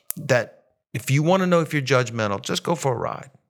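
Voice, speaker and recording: Using a normal speaking voice, a man talks at a fairly high pitch and a fairly quick pace. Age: 50s. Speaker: woodworker and insurance seller. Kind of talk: casual interview chat.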